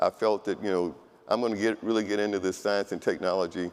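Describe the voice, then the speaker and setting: Over a silent background in a very clean recording, a man with a fairly low pitch talks at a fairly quick pace in a monotone, flat intonation. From United States. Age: 70s. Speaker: engineer and keynote speaker. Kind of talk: keynote speech.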